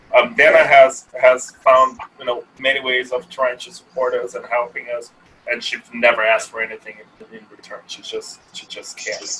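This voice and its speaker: A man at a moderate pace with big swings in loudness, over noticeable background noise. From Brazil. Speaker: app startup founder. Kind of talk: casual interview chat.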